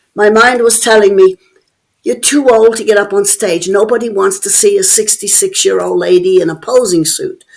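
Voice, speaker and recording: A woman with an Irish accent at a moderate pace. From Ireland (Dublin). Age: 70s. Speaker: bodybuilder. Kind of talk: interview.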